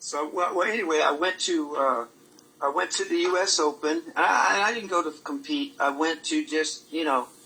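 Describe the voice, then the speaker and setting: The speaker has an American accent and ordinary pitch variation. Noticeable background noise can be heard. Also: man. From Maryland, US. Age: 70s. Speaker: martial arts grandmaster, former champion. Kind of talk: casual interview. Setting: live Facebook broadcast.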